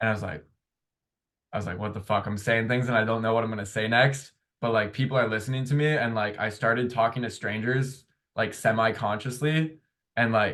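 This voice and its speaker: A man's voice at medium pitch, fairly quick in pace, with fairly even intonation. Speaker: podcast host. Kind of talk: casual chat.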